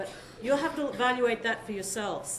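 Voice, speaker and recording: A woman talks very fast with ordinary pitch variation. The room echo is audible and there is noticeable background noise. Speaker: architect giving a lecture. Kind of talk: lecture. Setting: lecture hall with audience.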